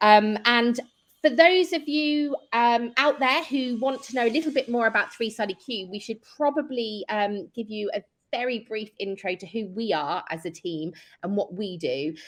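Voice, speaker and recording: A woman speaks with a British accent at a moderate pace. Her pitch is fairly high and her intonation lively. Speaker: event co-host, client success. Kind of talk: virtual panel event hosting. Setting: virtual event online.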